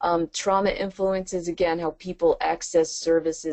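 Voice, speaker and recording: A woman with an American accent talks at a moderate pace in a fairly low pitch, an unremarkable speaking voice. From New York. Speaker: trainer. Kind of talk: webinar lecture. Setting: webinar.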